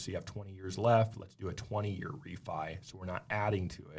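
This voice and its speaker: A man with a fairly low, somewhat breathy voice speaks at a moderate pace. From South Dakota. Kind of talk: casual interview. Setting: studio.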